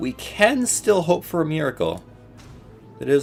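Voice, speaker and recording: A man in a relaxed tone, with music in the background. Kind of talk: casual gameplay commentary. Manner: casual, relaxed.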